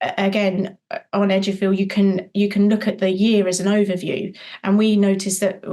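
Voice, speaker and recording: A woman speaks at a moderate pace and medium pitch. Her tone is dark and mellow. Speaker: childcare business owner. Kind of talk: podcast interview. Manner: animated.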